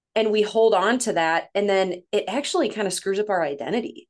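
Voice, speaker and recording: A woman with a Midwestern accent, speaking at a fairly quick pace. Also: quiet background. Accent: Midwestern, slight northern sound. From Missouri, near St. Louis. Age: 30s. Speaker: women's coach, former nurse. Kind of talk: casual interview chat.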